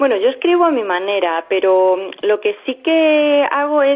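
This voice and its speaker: With a lively, bouncing intonation, the delivery unfolds at a fairly slow pace. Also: woman. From Spain, Extremadura (Villanueva de la Serena). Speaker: novelist. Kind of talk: radio interview. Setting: phone call.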